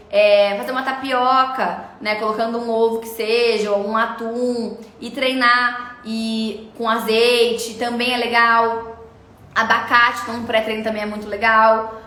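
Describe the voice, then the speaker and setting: A woman speaks at a fairly slow pace in a fairly high, monotone voice with flat intonation, her loudness swinging widely over noticeable background noise and audible room echo. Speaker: nutritionist. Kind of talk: live stream Q&A.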